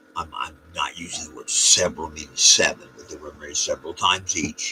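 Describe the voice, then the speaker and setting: A man talks at a fairly quick pace, his loudness swinging widely. Noticeable background noise runs behind him. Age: 70s. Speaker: storyteller vlogger. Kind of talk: casual storytelling monologue. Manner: rambling, halting.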